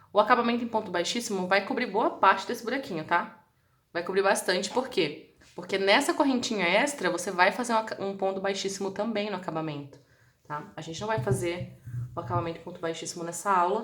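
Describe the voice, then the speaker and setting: Lively intonation marks this woman's medium-pitched voice as she speaks at a fairly quick pace with audible room echo. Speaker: crochet instructor. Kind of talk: live-stream tutorial. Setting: live stream.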